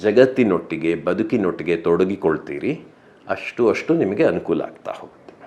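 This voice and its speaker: A man's voice with very wide pitch swings. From rural Karnataka, India. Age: 50s. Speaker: architect and writer, bereaved husband. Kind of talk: interview. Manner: reflective, with many pauses.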